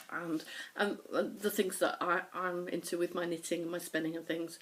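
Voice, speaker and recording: This is a woman with a northern English accent. Her pitch sits in the medium range. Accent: mild northern English. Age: 50s. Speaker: knitting podcaster. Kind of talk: casual chat. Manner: fast.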